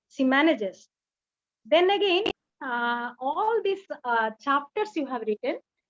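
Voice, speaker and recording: Her pitch moves through very wide swings. The woman talks at a fairly slow pace. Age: 60s. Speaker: poet and retired teacher. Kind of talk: book launch speech.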